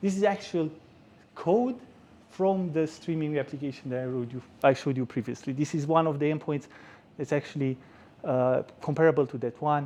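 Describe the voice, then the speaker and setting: A man with a Romanian accent speaks fairly quickly in a fairly high voice with a dark, mellow tone, ordinary pitch variation and long, frequent pauses. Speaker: software engineer giving a tech talk. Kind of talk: conference talk. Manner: hesitant with frequent repetitions.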